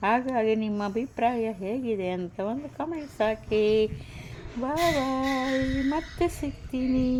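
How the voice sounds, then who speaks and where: High-pitched woman's voice with ordinary pitch variation over noticeable background noise. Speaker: vlogger. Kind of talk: casual vlog narration. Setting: outdoors.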